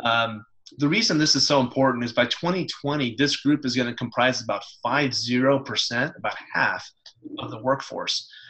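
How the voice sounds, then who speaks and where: This is a man with a medium pitch. His pitch variation is ordinary. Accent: American. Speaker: webinar presenter. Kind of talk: presentation. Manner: fast.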